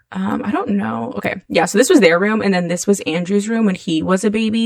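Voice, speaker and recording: Amid noticeable background noise, a woman with a medium pitch and ordinary pitch variation speaks at a very fast pace. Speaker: gaming YouTuber. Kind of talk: casual gameplay commentary. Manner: hesitant, many fillers.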